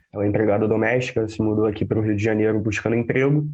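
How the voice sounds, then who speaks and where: With a strong northeastern Brazilian accent, a man speaks very fast at a medium pitch in a monotone, flat intonation. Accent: thick northeastern Brazilian. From Brazil, interior of Bahia (Northeast). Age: 20s. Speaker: community activist, data lab founder. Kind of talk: interview. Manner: hesitant, repeats words.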